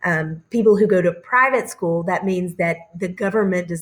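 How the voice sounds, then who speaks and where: A woman with a normal speaking voice talks at a fairly low pitch with fairly even intonation. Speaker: teacher. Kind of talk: recorded lecture over slides. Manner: casual with many fillers.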